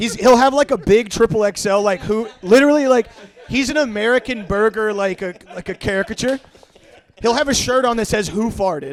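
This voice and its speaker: A man with a high voice speaks in an animated tone at a fairly quick pace, with ordinary pitch variation. Noticeable background noise is present. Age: 30s. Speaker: podcast guest. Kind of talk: casual chat.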